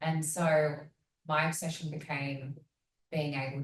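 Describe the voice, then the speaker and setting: In a room with audible echo, a woman speaks in a somewhat breathy voice at a very deep, low pitch. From Sydney, Australia. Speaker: design agency managing director. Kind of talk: panel discussion.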